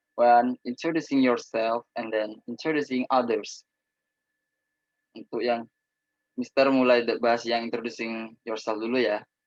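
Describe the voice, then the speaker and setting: Fairly slow speech comes out in a flat, monotone intonation. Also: man, medium pitch for a man, dry, close sound with no echo. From Indonesia, Probolinggo, East Java. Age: 20s. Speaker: student teacher. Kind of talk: lecture.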